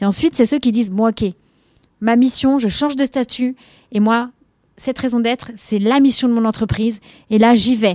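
Recorded dry and close with no echo, a woman with a fairly high pitch speaks at a moderate pace with fairly even intonation and long, frequent pauses. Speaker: impact journalist. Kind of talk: interview. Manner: hesitant with fillers.

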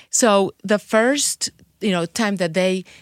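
A woman speaks at a moderate pace with a Spanish accent and ordinary pitch variation. The sound is dry and close with no echo, and the recording is very clean over a silent background. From Mexico City. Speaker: tequila influencer and chef. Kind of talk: casual interview chat. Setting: studio.

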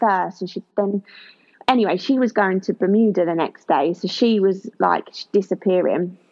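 A woman in a southern English accent at a moderate pace. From southern England, Kent. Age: 20s. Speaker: former track athlete, eyelash technician. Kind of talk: personal testimony in interview.

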